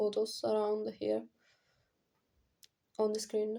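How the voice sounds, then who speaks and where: A woman with a non-native accent talks at a fairly high pitch, her tone dark and mellow. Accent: non-native English, pronunciation off. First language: not English. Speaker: indie singer-songwriter vlogger. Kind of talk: casual vlog talk. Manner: halting, many fillers.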